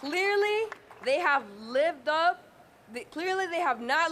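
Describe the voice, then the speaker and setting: At a moderate pace, a woman talks in an animated tone. Her pitch swings very widely. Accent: Spanish. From Honduras. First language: Spanish. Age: 20s. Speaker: community organizer. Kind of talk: rally speech.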